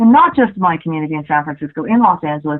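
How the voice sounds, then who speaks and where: Here is a woman with a plain, everyday voice. She talks at a fairly quick pace with ordinary pitch variation. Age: 40s. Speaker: journalist and author. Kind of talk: interview. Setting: radio show. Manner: casual, filler-heavy.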